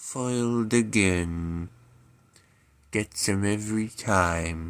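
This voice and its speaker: A man's cartoonish character voice with a deadpan tone, fairly low pitch and a very slow pace. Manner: slow, deadpan, droopy monotone.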